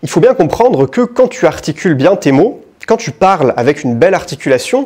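With big pitch swings and a slightly mellow tone, a man speaks at a fairly quick pace and a fairly high pitch.

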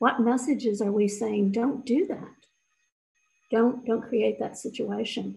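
A woman speaks at a fairly slow pace in a dark, mellow tone with vocal fry. Her intonation stays fairly even. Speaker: speaker. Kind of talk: personal testimony. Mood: earnest, serious. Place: office. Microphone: webcam.

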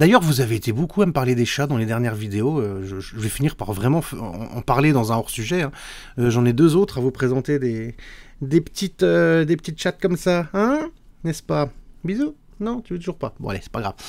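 A man at medium pitch talks at a fairly quick pace with very wide pitch swings over a quiet background. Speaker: YouTuber. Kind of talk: video commentary. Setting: home recording, live-style setup. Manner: hesitant, many filler sounds. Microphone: studio mic.

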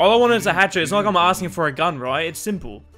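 A man's voice with lively intonation over music in the background. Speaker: YouTuber, game streamer. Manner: casual, joking, persuasive.

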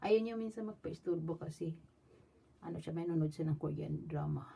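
Her tone is dark and mellow, with a somewhat breathy quality. The woman's pitch sits very deep and low. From Philippines. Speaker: vlogger. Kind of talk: product show-and-tell vlog. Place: home room. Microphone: phone near.

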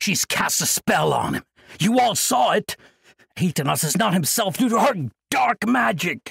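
A raspy, put-on character voice from a man, high-pitched and at a moderate pace. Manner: crying out, accusing, agitated.

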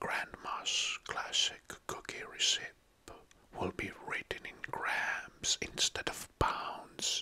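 Whispering, a man lets his words out at a very slow pace. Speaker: ASMR creator. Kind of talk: soft-spoken ASMR explainer talk. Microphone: studio mic.

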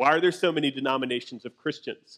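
A man talks with ordinary pitch variation in a quiet background. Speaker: pastor. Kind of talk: sermon. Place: church.

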